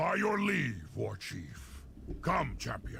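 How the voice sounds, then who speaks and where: A man's put-on character voice, very slow, over clear background noise. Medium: video game. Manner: formal, measured.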